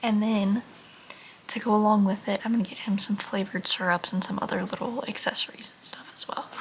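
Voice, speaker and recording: There is noticeable background noise as a woman talks at a fairly quick pace with medium pitch and monotone, flat intonation. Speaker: lifestyle vlogger. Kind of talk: casual vlog talk. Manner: casual, filler-heavy (like).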